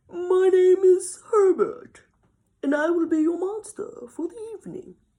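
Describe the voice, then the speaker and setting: Someone speaks in a put-on character voice at an extremely high pitch. The pace is moderate. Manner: polite, formal.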